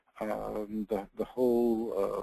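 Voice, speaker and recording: In an American accent, a man speaks at medium pitch with a dark, mellow tone and monotone, flat intonation, recorded dry and close with no echo. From New York. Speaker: law school enrollment dean. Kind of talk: webinar presentation. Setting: webinar. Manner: halting, many fillers and repeats.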